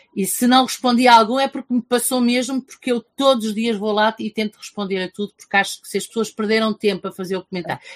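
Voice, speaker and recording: With hardly any pauses, a woman talks very fast at a fairly high pitch with fairly even intonation, in a dry, close sound with no echo. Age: 50s. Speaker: teacher and book reviewer. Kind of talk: casual interview.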